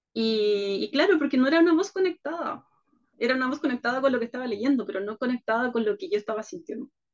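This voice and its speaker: A woman's high voice carries lively intonation as she talks at a moderate pace. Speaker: leadership workshop speaker. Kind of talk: video conference conversation. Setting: video call.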